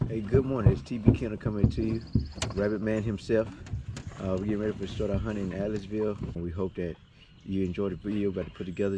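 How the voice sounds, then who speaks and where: Noticeable background noise sits under a man talking very fast. His pitch is fairly low, and the sound is dry with no echo. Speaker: hunting channel host. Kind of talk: casual vlog chat. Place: forest. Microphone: phone near.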